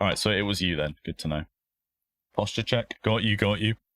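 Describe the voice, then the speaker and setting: A man with a southern English accent speaks very fast in a fairly low pitch. The very clean recording has a silent background and a dry, close sound with no echo. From southern England. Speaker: sim racing streamer. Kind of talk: live stream commentary while sim racing. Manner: casual, chatty.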